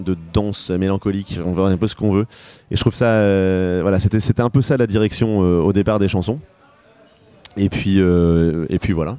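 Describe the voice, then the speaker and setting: A normal speaking voice from a man, fairly low in pitch, with ordinary pitch variation at a moderate pace. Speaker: pop singer-songwriter. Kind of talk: interview.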